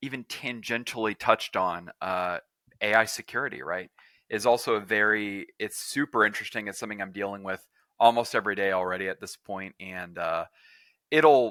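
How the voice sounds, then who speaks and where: A man with an American accent speaks at a fairly low pitch in a bright, sharp tone, with ordinary pitch variation and big swings in loudness. The sound is dry and close with no echo, in a very clean recording over a silent background. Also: fairly quick pace. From Texas. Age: 30s. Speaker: tech entrepreneur. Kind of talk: podcast interview.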